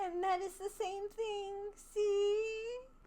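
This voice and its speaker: In a squeaky, gentle-toned put-on character voice, the speaker delivers lines with monotone, flat intonation over light background noise. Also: woman, extremely high pitch for a woman. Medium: read story. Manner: sweet, gentle.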